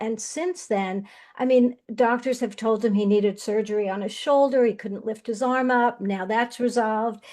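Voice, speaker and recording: A woman speaks at a moderate pace with a fairly high pitch and a dark, mellow tone. The background is quiet. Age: 70s. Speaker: wellness product user and practitioner. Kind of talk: testimony. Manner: animated.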